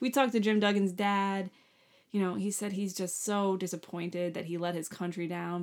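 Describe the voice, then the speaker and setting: At a fairly quick pace, a woman talks in an unremarkable speaking voice. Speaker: podcast co-host. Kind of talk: casual chat.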